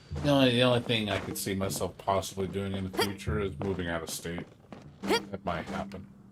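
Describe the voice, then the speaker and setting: A man talks fairly quickly in a fairly low pitch, his pitch varying in an ordinary way, while noticeable background noise runs underneath. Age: 40s. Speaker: gaming streamer. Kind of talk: casual chat. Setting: home. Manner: casual.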